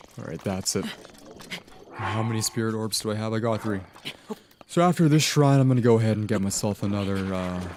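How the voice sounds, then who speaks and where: Noticeable background noise sits behind a man with a fairly low pitch and ordinary pitch variation. He talks at a fairly quick pace but leaves long, frequent pauses. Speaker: gaming streamer. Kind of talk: live gameplay commentary. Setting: live stream. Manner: halting, repeats words.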